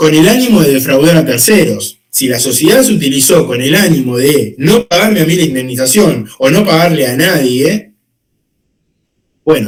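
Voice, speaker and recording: A man's fairly high-pitched voice with vocal fry. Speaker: law teacher. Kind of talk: lecture. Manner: fast.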